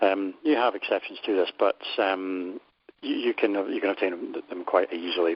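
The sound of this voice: This is a man speaking in a low pitch.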